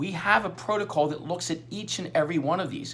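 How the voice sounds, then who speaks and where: A man speaks. His voice has vocal fry. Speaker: chiropractor. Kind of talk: radio interview. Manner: fast; halting.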